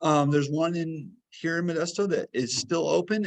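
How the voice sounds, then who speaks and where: An ordinary speaking voice from a man, fairly quick in pace, with ordinary pitch variation. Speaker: health program coordinator and fitness instructor. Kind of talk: webinar presentation.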